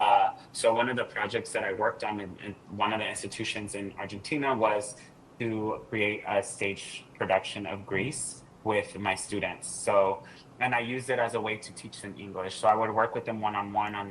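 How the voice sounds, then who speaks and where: A man's fairly low voice with a Californian accent and big swings in loudness, over noticeable background noise. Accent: Californian American English. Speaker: doctoral student and former English teaching assistant. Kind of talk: podcast interview. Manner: animated.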